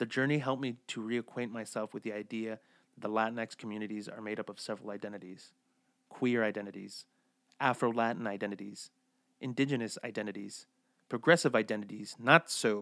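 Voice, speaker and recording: In a very clean recording with a silent background, a man uses a normal speaking voice. His pitch is medium, his pace fairly quick, and his intonation fairly even. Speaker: storyteller. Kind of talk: reading aloud.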